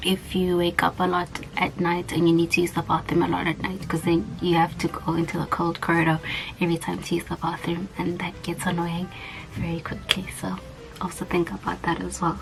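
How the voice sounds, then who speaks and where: With music playing behind her, a soft-spoken woman talks at a fairly quick pace in a fairly low, monotone, flat voice. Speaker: vlogger, student abroad. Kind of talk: casual vlog tutorial. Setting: small room at home, neighbors nearby.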